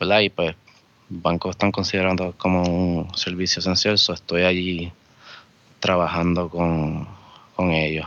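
A very deep, low-pitched man speaking fairly slowly in a monotone, flat intonation, very even in loudness, with long, frequent pauses. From Vega Alta, Puerto Rico. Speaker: bank worker and homebrewer. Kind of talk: casual chat.

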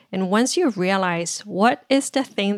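With a Chinese accent, a woman talks at a moderate pace with ordinary pitch variation, recorded in a dry, close sound with no echo. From China (Shanghai). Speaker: marketing executive. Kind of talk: podcast interview. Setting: home office, remote.

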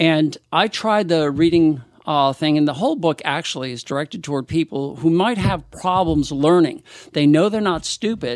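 Very cleanly recorded against a silent background, an ordinary speaking voice goes at a moderate pace with ordinary pitch variation. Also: man, fairly high pitch for a man. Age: 60s. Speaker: equine dentist and veterinarian. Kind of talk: casual interview.

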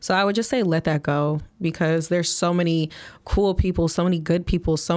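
A normal speaking voice from a woman with an American accent, fairly low in pitch, at a moderate pace, in a very clean recording with a silent background. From Flint, Michigan, US Midwest. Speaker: event reporter and podcast guest. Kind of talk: casual interview chat.

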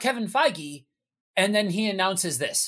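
The recording is very clean, with a silent background. The speech moves at a moderate pace. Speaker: podcast co-host. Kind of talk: casual chat about geek culture.

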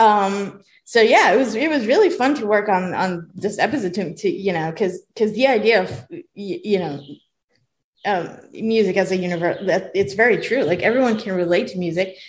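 A woman's somewhat breathy voice at a medium pitch, with ordinary pitch variation. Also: moderate pace. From Israel. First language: Hebrew. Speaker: film and TV composer. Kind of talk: interview. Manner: animated; halting.

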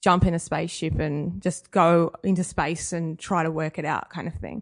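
With an Australian accent, a woman talks at a moderate pace in a fairly low pitch, her intonation monotone and flat. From Australia, Wagga Wagga (regional New South Wales). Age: 30s. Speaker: young adult author. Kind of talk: interview.

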